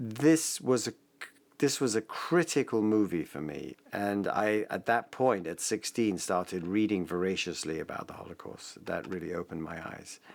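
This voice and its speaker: A man with an English accent speaks at a moderate pace and a fairly low pitch, his intonation lively and his loudness swinging widely. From England. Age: 50s. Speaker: father, interviewee. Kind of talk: personal testimony.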